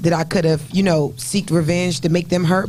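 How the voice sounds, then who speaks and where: The man's voice sits at a high pitch and moves at a moderate pace. Noticeable background noise runs underneath. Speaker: podcast guest. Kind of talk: casual chat. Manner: loud.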